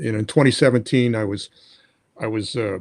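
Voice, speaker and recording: A man with an American accent speaks fairly quickly at medium pitch with ordinary pitch variation. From New York (Brooklyn). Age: 60s. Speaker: kidney disease patient. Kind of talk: interview. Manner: halting, many repetitions.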